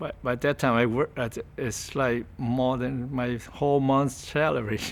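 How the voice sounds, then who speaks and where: Speaking very slowly, a man uses a voice of medium pitch. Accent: Vietnamese. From Vietnam. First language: Vietnamese. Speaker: refugee interviewee. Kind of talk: interview testimony. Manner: halting.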